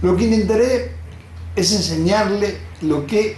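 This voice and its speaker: Room echo is audible as a man speaks fairly slowly. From Argentina, Rosario. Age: 70s. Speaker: doctor. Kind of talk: lecture.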